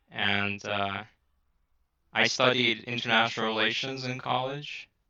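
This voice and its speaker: A man with an American accent speaks in a bright, sharp tone and a flat, monotone delivery against a quiet background. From US Midwest, Chicago. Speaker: podcast guest, social media personality. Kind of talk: casual interview.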